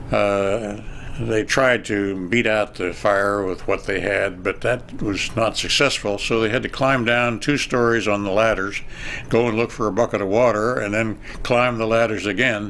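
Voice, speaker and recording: Over noticeable background noise, a man with a western Pennsylvania accent speaks at a fairly low pitch, a moderate pace and with fairly even intonation. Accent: western Pennsylvania American. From western Pennsylvania (Beaver County). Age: 80s+. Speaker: local historian, elderly resident. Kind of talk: oral history interview. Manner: halting, many fillers.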